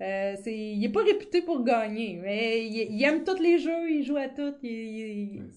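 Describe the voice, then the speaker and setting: Her fairly high voice moves with lively intonation as this woman speaks at a very slow pace. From rural Quebec. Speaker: board game event coordinator. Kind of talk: casual interview. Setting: studio.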